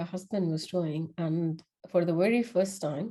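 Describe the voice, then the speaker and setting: A woman with a non-native accent, a dark, mellow tone, fairly even intonation and a moderate pace. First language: not English. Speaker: podcast host. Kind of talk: casual monologue. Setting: before a camera.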